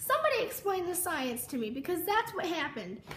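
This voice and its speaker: Moving at a moderate pace, a woman's voice makes very wide pitch swings against audible room echo. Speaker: vlogger. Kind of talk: casual storytime vlog. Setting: home kitchen.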